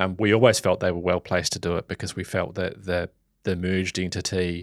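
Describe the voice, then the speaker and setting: In a New Zealand accent, a man speaks at a very deep, low pitch with fairly even intonation, the sound dry and close with no echo. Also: very clean recording, silent background. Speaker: media executive. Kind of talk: interview. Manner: halting, frequent fillers.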